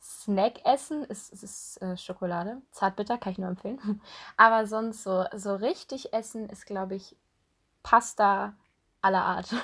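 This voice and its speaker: A normal speaking voice moves at a fairly slow pace with ordinary pitch variation and big swings in loudness. The recording is very clean, with a silent background. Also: woman, medium pitch for a woman. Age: 20s. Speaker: podcast co-host, student. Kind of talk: casual chat.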